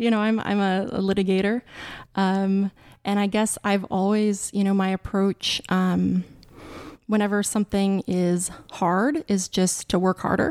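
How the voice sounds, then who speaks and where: A woman's medium-pitched voice, an ordinary speaking voice, at a fairly slow pace with very even loudness, fairly even intonation, and a dry, close sound with no echo on a very clean recording with a silent background. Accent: American. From Montana, US. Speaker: lawyer. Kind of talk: interview.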